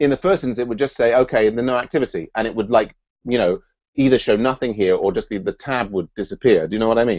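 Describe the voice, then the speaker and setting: In a dry, close sound with no echo and a quiet background, a man talks very fast with lively intonation at a medium pitch. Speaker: software project lead hosting a scrum meeting. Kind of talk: online scrum meeting, technical discussion. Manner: halting, many repetitions and fillers.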